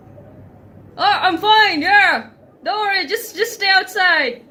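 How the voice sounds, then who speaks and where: A gruff put-on character voice at an extremely high pitch and a very slow pace. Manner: reassuring, fake-calm.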